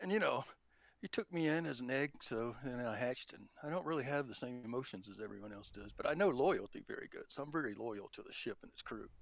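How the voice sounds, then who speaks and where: A man with a Southern US accent speaks with big swings in loudness. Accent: southern drawl. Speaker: tabletop roleplaying player. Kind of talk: casual chat. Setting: online voice chat.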